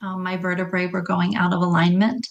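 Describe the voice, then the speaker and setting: A woman with a normal speaking voice talks at a medium pitch and a moderate pace, her intonation fairly even. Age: 60s. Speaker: health coach. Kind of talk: interview.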